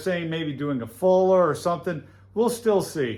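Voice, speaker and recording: This man speaks loudly at a moderate pace, his pitch high for a man. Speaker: knifemaker hobbyist youtuber; military veteran. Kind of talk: workshop tutorial. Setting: workshop forge with earplugs in. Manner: casual, filler-heavy.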